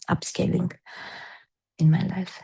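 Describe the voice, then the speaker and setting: With a Serbian accent, a woman speaks in a fairly low pitch. Her tone is dark and mellow, her intonation monotone and flat. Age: 40s. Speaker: personal-development coach. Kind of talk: interview. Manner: halting.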